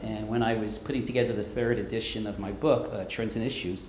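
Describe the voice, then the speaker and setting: A man in a New York accent at medium pitch, fairly quick pace, with audible room echo and noticeable background noise. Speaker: professor. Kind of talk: lecture.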